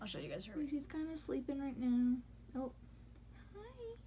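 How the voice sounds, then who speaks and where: A woman talks at a moderate pace, her voice carrying audible room echo. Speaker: vlogger, new mother. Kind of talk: casual story time vlog.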